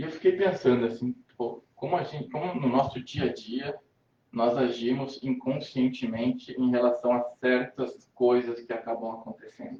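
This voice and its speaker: A man's medium-pitched voice shows ordinary pitch variation and holds a moderate pace. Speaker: spiritist lecturer. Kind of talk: spiritist lecture. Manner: halting.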